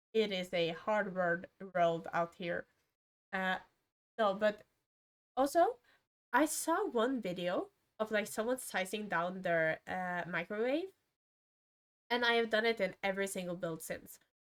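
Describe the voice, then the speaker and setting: This woman speaks at a medium pitch with a non-native accent and ordinary pitch variation. Her pace is fairly slow, broken by long, frequent pauses. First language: not English. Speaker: gaming streamer. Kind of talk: casual commentary over a speed build. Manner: halting, many fillers and self-corrections.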